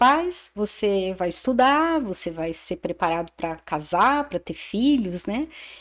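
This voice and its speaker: Very wide pitch swings mark this voice, captured on a very clean recording with a silent background. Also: woman. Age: 60s. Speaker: aesthetician and businesswoman. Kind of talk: casual chat.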